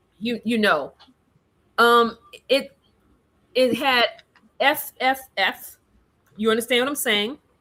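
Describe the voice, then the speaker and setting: A woman's high-pitched voice, bright and sharp in tone, with ordinary pitch variation, a very slow pace and long, frequent pauses. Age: young. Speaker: caller. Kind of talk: call-in discussion. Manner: halting.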